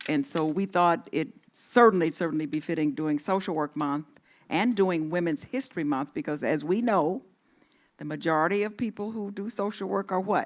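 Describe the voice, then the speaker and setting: Her fairly low voice moves with lively intonation as the woman speaks at a moderate pace. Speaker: social work dean. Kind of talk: ceremonial speech. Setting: auditorium with live and online audience. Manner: loud.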